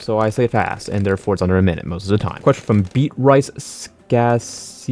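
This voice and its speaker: Lively intonation from a man at a fairly quick pace. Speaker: gaming YouTuber. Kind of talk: casual gameplay commentary and Q&A. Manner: fast; animated.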